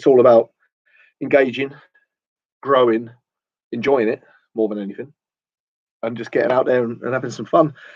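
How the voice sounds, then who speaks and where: A man with a southern English accent, medium pitch and a fairly quick pace. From southern England, near London. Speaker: photography vlogger. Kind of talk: casual livestream chat. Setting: garden studio, livestream. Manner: rambling, informal.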